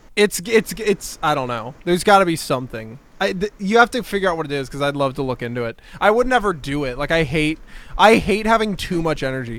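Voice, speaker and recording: A man speaks at a very fast pace in a fairly high pitch, his voice swinging very widely up and down over noticeable background noise. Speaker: comedy podcast co-host. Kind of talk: casual chat. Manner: energetic.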